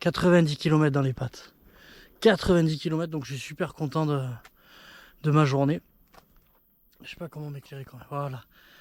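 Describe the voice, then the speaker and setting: A man with a fairly high pitch speaks at a fairly quick pace with fairly even intonation, big swings in loudness, and long, frequent pauses. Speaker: travel vlogger on a bike trip. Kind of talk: casual vlog to camera. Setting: outdoors at night. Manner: soft-spoken; halting.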